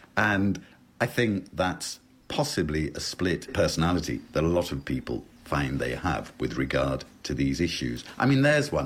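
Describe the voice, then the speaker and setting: With a British accent, this voice moves at a moderate pace through very wide pitch swings and carries vocal fry. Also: man, very deep, low pitch for a man. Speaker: lexicographer. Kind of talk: interview on language.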